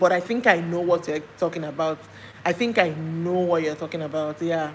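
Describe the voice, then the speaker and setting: In a Nigerian accent, a woman with a fairly low pitch speaks at a moderate pace. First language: Nigerian language. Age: 40s. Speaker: live streamer. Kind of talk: casual chat. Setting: livestream.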